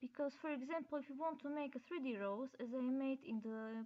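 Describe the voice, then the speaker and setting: A woman with a non-native accent speaks in a dark, mellow tone with ordinary pitch variation. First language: not English. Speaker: DIY crafter. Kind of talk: craft tutorial narration. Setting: laptop microphone.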